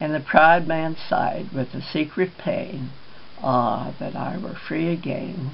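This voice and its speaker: Noticeable background noise fills the recording. A woman talks at a very slow pace through it. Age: 80s+. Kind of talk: poetry reading.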